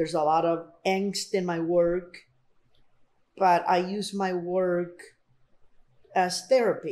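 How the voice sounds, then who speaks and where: A woman's medium-pitched voice, dark and mellow in tone, with monotone, flat intonation, a very slow pace, long, frequent pauses, and a Spanish accent. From Colombia, then Miami and Houston from age 12. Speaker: artist. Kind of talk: oral history interview.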